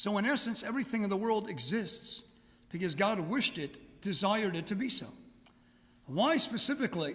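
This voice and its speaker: A man with an American accent speaks in a raised, projected voice, high-pitched and lively in intonation. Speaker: rabbi. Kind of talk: lecture. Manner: fast.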